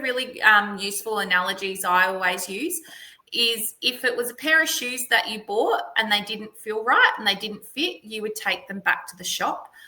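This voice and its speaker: A woman with an Australian accent speaks at a moderate pace in a fairly high pitch, her tone bright and sharp and her intonation lively. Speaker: parent advocate. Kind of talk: webinar presentation. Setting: live webinar. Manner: loud; animated.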